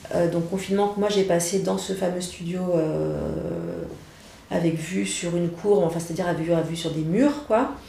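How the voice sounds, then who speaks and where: A woman with a fairly low pitch speaks at a fairly slow pace, with noticeable background noise and audible room echo. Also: ordinary pitch variation. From France, Saint-Étienne. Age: 40s. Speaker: journalist and author. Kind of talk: personal testimony interview. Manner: halting, many hesitations and repetitions.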